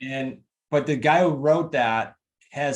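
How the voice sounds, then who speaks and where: A man talks with a New England accent. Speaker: real estate investing coach and author. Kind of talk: interview chat. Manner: fast.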